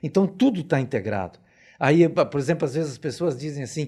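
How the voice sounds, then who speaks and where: Fairly high in pitch yet dark and mellow in tone, a man speaks at a moderate pace with lively intonation. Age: 70s. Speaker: geologist and professor. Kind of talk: interview. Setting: studio.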